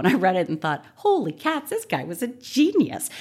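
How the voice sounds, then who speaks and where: A woman speaks very fast with an American accent. The recording is very clean, with a silent background. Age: 40s. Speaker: political science professor and author. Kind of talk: interview.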